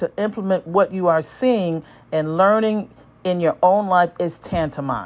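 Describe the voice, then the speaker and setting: A woman talks in a normal speaking voice at a moderate pace with ordinary pitch variation. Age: 60s. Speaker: emergency room physician. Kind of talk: scripted narration. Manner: formal.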